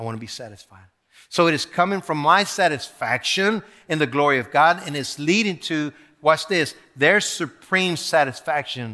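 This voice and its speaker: An animated voice with a bright, sharp tone and big swings in loudness. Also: man. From South Texas (Rio Grande Valley), born in Mexico. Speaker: pastor. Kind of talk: sermon. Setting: church.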